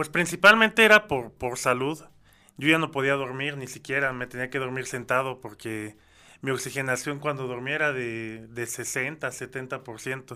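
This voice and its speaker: Recorded very cleanly against a silent background, a man talks at a fairly slow pace and medium pitch, with a bright, sharp tone and ordinary pitch variation. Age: 30s. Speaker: music producer and artist developer. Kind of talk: testimony.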